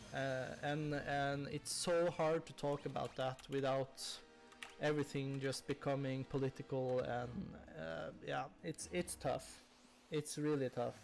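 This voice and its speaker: Music plays in the background as the speaker, with a non-native accent, talks at a fairly slow pace. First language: not English. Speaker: video game streamer. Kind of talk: live gameplay stream chat. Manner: halting, many fillers.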